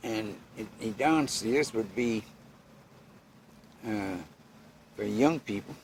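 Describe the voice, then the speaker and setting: A man talks at a medium pitch with ordinary pitch variation. His pace is very slow, with long, frequent pauses. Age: 80s+. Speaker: boat and house builder. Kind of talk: interview answer. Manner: slow, elderly.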